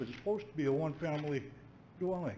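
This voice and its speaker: There is audible room echo as a man with a fairly high pitch speaks at a very fast pace. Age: 70s. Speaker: resident making public comment. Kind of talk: public comment at council meeting. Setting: council chamber.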